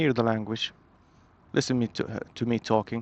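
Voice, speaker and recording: A man with a Saudi accent speaks at a medium pitch in a flat, monotone delivery against a quiet background. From Saudi Arabia, Medina. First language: Arabic. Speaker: English teacher. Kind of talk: casual motovlog talk. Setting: riding a motorbike. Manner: halting, many fillers and restarts.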